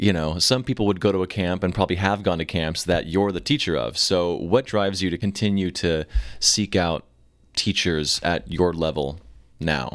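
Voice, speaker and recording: Over a very clean recording with a silent background, a man with a very deep, low pitch talks at a moderate pace with ordinary pitch variation. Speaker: drummer and podcast host. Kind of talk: casual interview. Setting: hotel room during interview. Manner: quiet, low energy.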